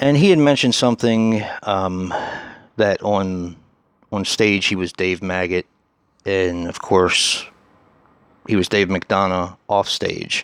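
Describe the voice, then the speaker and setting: A soft-spoken man's fairly low voice with ordinary pitch variation, at a very slow pace with long, frequent pauses. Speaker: horror YouTuber. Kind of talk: casual vlog monologue. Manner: hesitant, many fillers.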